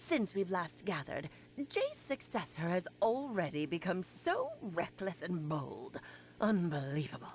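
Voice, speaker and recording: A put-on character voice that sounds female moves at a moderate pace over clear background noise. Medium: video game. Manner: theatrical, teasing.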